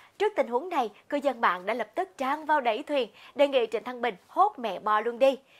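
A woman speaks at a fairly quick pace. Her high-pitched voice has lively intonation. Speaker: entertainment news presenter. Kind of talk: news reading. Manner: formal.

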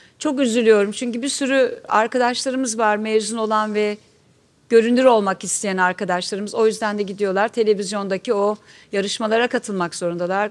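A woman's plain, everyday voice, fairly high in pitch, at a fairly quick pace with fairly even intonation. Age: 60s. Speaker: actress. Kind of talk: panel talk. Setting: stage with audience. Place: stage.

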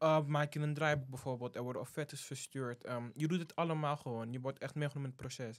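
Speaking at a fairly quick pace, a man has a fairly high pitch. The recording is very clean, with a silent background. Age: 18. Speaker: student intern. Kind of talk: casual interview.

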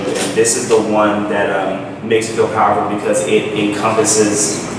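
Strong room echo and noticeable background noise accompany a man speaking at a fairly low pitch. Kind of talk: interview answer. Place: home room. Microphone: camera far.

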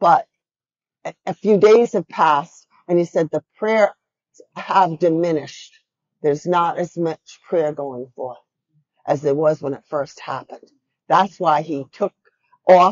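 Against a quiet background, a woman with a fairly low voice speaks fairly slowly, leaving long, frequent pauses, her loudness swinging widely and her pitch varying in an ordinary way. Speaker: speaker. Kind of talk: sermon. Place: church.

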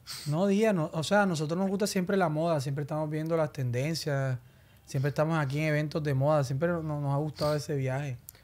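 A man speaks at a fairly quick pace, his pitch varying in an ordinary way. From Colombia, Barranquilla; Colombia. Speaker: urban music singer; podcast guest. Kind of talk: casual interview chat. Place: studio. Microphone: studio mic.

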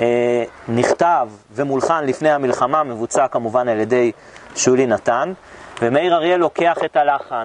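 Speaking at a fairly slow pace, a man keeps his loudness very even with ordinary pitch variation while light background noise runs underneath. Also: dry sound with no echo. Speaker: tour guide. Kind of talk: guided tour talk. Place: garden.

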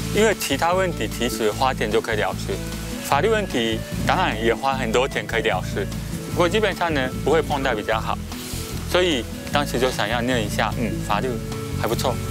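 Clear music plays in the background as a man speaks with a Japanese accent. His pace is fairly quick, broken by long, frequent pauses. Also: dry sound with no echo. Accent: Japanese-accented Mandarin. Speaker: law lecturer. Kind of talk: interview answer. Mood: relaxed, smiling. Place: garden. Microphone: lapel.

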